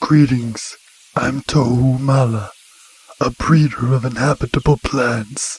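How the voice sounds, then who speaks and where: Here a man puts on a character voice. He speaks at a fairly slow pace and a medium pitch. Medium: video game. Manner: polite, measured.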